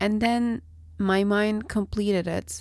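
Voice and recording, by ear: A nasal voice with a dark, mellow tone at a very slow pace. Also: woman.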